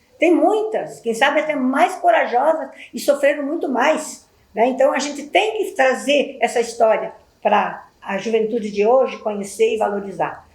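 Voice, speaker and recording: A woman with a high voice speaks at a moderate pace, her pitch swinging very widely. The room echo is audible. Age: 70s. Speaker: community elder. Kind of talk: testimony. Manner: halting.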